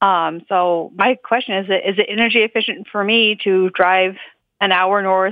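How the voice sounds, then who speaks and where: A woman talks at a moderate tempo in a medium-pitched voice. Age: 30s. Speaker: caller, Viking reenactment hobbyist. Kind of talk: phone-in question. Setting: phone call. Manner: hesitant, halting with fillers.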